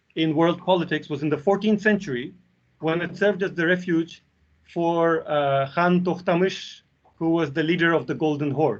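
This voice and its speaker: A man with a Russian accent speaks fairly quickly at a high pitch with ordinary pitch variation. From Belarus. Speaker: university lecturer. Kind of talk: academic seminar talk.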